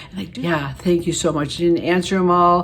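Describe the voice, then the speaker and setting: Noticeable background noise runs under the recording. The voice belongs to a woman. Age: 70s. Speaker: beauty vlogger. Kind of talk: casual vlog talk to camera. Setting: home, living room. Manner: halting, many fillers.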